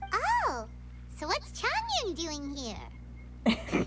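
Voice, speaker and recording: A female-sounding voice does a put-on character voice against loud background noise. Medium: video game.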